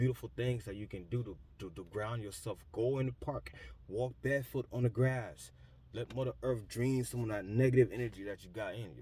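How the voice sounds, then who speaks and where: Talking very fast, a man with a medium pitch and a dark, mellow, somewhat breathy tone shows ordinary pitch variation. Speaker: spiritual vlogger. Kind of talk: motivational monologue.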